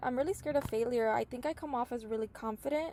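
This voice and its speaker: A woman's fairly high voice with lively intonation. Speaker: college student. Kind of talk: class assignment answers, reading prompts. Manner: hesitant, many fillers.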